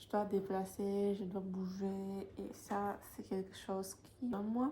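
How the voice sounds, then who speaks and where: With a Polish accent, a woman speaks at medium pitch in a somewhat breathy voice with a dark, mellow tone. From Poland. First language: Polish (speaking French). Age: 20s. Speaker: vlogger. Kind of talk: casual vlog talk to camera. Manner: hesitant, many fillers.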